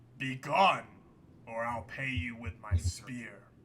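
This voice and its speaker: Putting on a gravelly character voice, a man talks at a fairly slow pace with a medium pitch. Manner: threatening, menacing.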